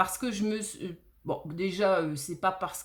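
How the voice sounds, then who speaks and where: A woman speaks with a slight southern French accent. Her pace is fairly slow, with ordinary pitch variation. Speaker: tarot reader. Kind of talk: tarot reading monologue. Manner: hesitant, many fillers.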